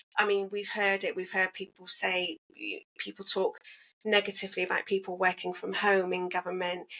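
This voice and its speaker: A woman in an English accent, medium pitch, moderate pace, monotone and flat. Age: 40s. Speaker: single mothers' advocate and entrepreneur. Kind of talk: podcast interview.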